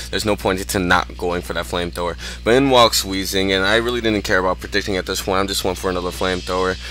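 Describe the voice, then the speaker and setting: Music plays behind a man with a very deep, low pitch. He talks at a very fast pace with very wide pitch swings. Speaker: gaming commentator. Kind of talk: gameplay commentary. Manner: casual with many fillers.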